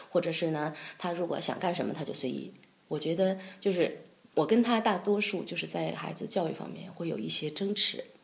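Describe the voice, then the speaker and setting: Speaking at a fairly quick pace, a woman uses lively intonation in a fairly low voice. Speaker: concert pianist and piano professor. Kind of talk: interview. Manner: hesitant, many fillers.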